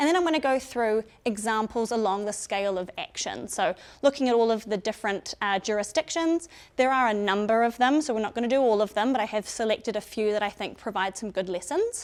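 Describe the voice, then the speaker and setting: This woman talks very fast with a New Zealand accent and a fairly high pitch. The recording is very clean, with a silent background. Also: ordinary pitch variation. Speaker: biosecurity and emergency management consultant. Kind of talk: presentation to public audience. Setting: public information session in a room with audience.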